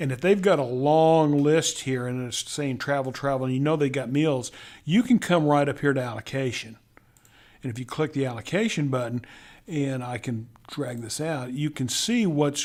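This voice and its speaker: The speaker has a Texas accent and ordinary pitch variation. The recording is very clean, with a silent background. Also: man, fairly high pitch for a man, moderate pace. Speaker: corporate accounts payable trainer. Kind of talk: tutorial. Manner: halting, with many repeated words.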